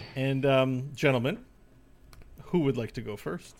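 This man's voice is pitched fairly high. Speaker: podcast host. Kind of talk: casual chat. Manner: radio voice today, animated.

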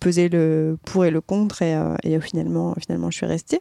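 A woman's voice, dry and close, with no echo. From Marseille, southern France. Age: 30s. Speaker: podcast guest, older sister. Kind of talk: casual conversation.

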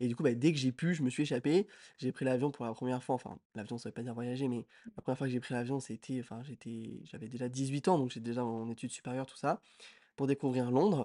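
Very fast male speech at medium pitch, dark and mellow in tone, with ordinary pitch variation, big swings in loudness, and a dry, close sound with no echo over a quiet background. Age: 20s. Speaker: podcast co-host, student. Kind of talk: casual chat.

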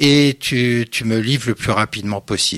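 A man's medium-pitched voice at a very slow pace, fairly even in intonation, on a very clean recording with a silent background. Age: 60s. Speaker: master fabric pleater. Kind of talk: casual interview. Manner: hesitant, many fillers.

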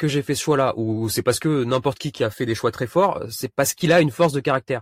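A man talks at a very fast pace with lively intonation. The recording is very clean, with a silent background and a dry, close sound with no echo. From Réunion. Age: 30s. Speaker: vanlifer and youtuber. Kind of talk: casual interview. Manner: halting, many repetitions and fillers.

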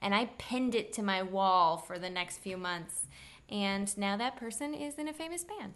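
A woman with an American accent and an ordinary speaking voice, medium in pitch, at a moderate pace with lively intonation. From Kansas City, Missouri. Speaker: actor and host. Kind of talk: casual chat.

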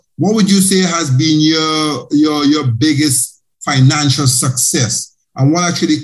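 Speaking at a fairly slow pace with hardly any pauses, a man has a fairly high pitch and a somewhat breathy sound. His pitch variation is ordinary. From Caribbean. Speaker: podcast host, accountant. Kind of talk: interview podcast.

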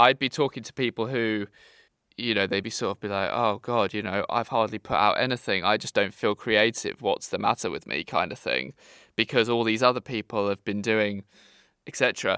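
Bright and sharp in tone, a man with a British accent speaks at a fairly quick pace with fairly even intonation. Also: medium pitch for a man, very clean recording, silent background. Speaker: podcast host. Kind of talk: casual chat.

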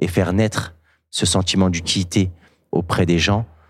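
In a very clean recording with a silent background, a man speaks in a very deep, low pitch with monotone, flat intonation. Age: 20s. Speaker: social entrepreneur, business analyst. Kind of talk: testimony. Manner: halting.

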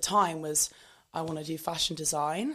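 A woman's fairly low voice in a southern English accent, her intonation fairly even. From southern England. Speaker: fitness content creator. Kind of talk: casual interview.

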